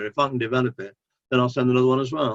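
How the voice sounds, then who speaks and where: A man's medium-pitched voice with an English accent. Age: 70s. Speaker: author. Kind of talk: interview.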